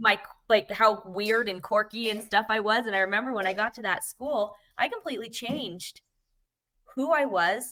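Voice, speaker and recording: Loud and energetic, a woman speaks in a bright, sharp tone at a fairly high pitch with ordinary pitch variation. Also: moderate pace. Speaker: network marketing coach and podcast co-host. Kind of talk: casual panel chat.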